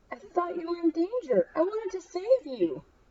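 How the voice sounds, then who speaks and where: Using a squeaky, put-on character voice at an extremely high pitch, a woman speaks at a moderate pace. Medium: read story.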